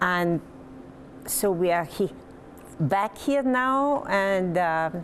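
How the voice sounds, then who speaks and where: A woman speaks with a French Canadian accent at a medium pitch. Her intonation is lively. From Quebec, Lower Saint Lawrence. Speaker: retired hospital administrator. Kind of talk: interview.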